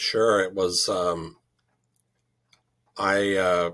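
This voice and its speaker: In a very clean recording with a silent background, a man with a Chicago accent speaks at a very deep, low pitch. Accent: Midwestern, Chicago. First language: French. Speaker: druid leader. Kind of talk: interview.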